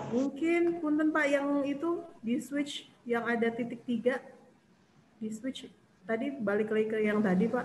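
Over light background noise and audible room echo, a woman with a high pitch talks at a fairly slow pace with ordinary pitch variation. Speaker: event moderator. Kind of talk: moderating a webinar. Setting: video call. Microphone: video call.

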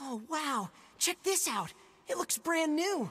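Fairly slow delivery in a put-on character voice pitched high. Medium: video game.

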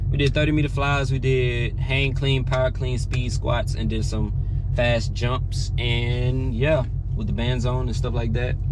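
A man speaks at a fairly slow pace. The sound is dry with no echo, and there is noticeable background noise. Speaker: college athlete vlogger. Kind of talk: casual vlog chat. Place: car. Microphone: phone near.

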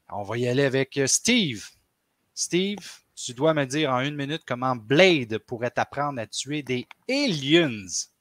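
A man's fairly high voice has an animated tone and lively intonation at a fairly slow pace, with a dry, close sound with no echo. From Quebec. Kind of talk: casual chat.

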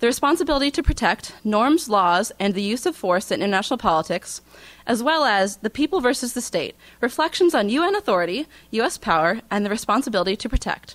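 Her pitch is fairly high for a woman and swings very widely. She talks at a fairly quick pace. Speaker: student event organizer; event host introducing lecturer. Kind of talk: formal introduction. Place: hall.

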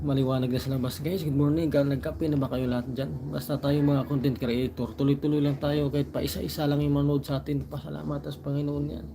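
Over noticeable background noise, a man talks at a very fast pace with hardly any pauses. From Southern Leyte, Philippines. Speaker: vlogger. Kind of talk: casual livestream chat.

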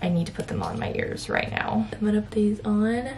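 A woman talks with ordinary pitch variation while light noise sounds in the background. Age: 20s. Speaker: lifestyle vlogger. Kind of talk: casual vlog talk to camera. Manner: animated. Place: home room. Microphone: phone near.

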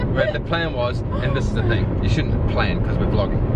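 A man is heard over loud background noise, his sound dry with no echo. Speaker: vlogger. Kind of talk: casual vlog chat. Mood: playful, joking. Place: car. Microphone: phone near.

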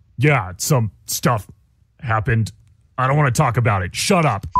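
With lively intonation, a man speaks at medium pitch and a moderate pace. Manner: taunting, brash.

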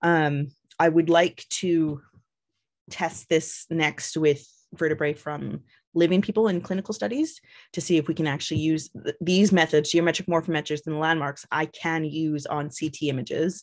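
Over a quiet background, a woman with a fairly low pitch speaks with fairly even intonation. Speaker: biological anthropologist, professor; guest lecturer. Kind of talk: lecture. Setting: video call. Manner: fast talker. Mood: calm, explanatory. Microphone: video call.

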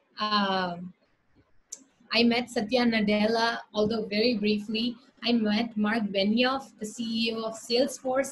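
Somewhat breathy and fairly high in pitch, a woman speaks at a fairly slow pace in a monotone with flat intonation. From India. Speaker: startup founder. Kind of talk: presentation with slides, lecture-style talk. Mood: upbeat, storytelling. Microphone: video call.

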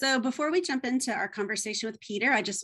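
With an American accent, a woman talks at a very fast pace with lively intonation over a quiet background. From United States. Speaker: professor and webinar host. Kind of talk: webinar host introduction. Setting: video call. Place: home room. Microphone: video call.

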